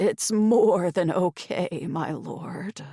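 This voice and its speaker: A put-on character voice, female-sounding and raspy, at medium pitch. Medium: read story. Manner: deferential, addresses master as my lord.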